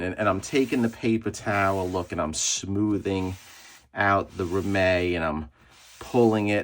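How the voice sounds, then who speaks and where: In a New York accent, a man with a fairly low voice talks at a fairly slow pace in an animated tone. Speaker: comic book conservator and collector YouTuber. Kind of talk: tutorial. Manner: casual, animated.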